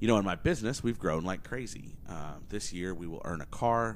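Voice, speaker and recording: A very deep, low-pitched man with an American accent at a fairly quick pace, with audible room echo. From Oklahoma. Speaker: podcast host and entrepreneur. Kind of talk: casual solo monologue. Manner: energetic.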